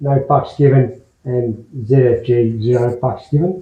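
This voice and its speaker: The voice is somewhat breathy, with an Australian accent. Its intonation stays fairly even. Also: man. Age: 60s. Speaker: adventure motorcycle vlogger. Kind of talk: casual video diary. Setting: motel room. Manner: halting, many fillers.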